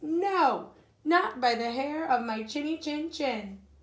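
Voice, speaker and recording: A woman does a put-on character voice at a high pitch and a fairly slow pace. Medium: read story.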